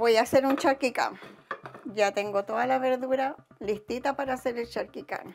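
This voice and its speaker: A woman with a Chilean accent speaks at a high pitch and a moderate pace with fairly even intonation. Background noise is noticeable. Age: 70s. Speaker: retiree. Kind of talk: interview.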